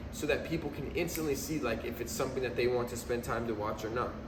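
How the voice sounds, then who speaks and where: Over noticeable background noise and with audible room echo, a man talks at a very fast pace. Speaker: video marketing business founder. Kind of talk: casual vlog talk. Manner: casual, filler-heavy.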